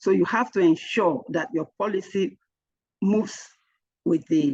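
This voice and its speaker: With an unremarkable speaking voice, a woman of medium pitch talks fairly slowly with lively intonation. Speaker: HR trainer. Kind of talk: lecture.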